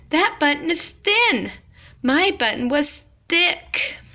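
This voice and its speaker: A put-on character voice from a woman, extremely high-pitched and at a very slow pace. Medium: read story. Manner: fussy, complaining.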